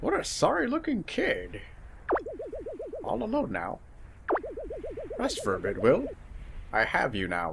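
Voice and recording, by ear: A man's put-on character voice at a moderate pace, broken by long, frequent pauses, over clear background noise and sound effects.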